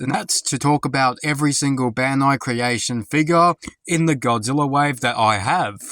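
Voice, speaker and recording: The sound is dry and close, with no echo. A man speaks at a fairly high pitch in a bright, sharp tone with ordinary pitch variation. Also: moderate pace. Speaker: toy collector reviewer. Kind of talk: product review.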